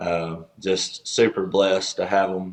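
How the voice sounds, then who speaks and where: A man speaks very slowly with a Southern US accent at a fairly low pitch. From US South, East Tennessee (Chattanooga). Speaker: country singer-songwriter, former pastor. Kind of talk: casual interview chat.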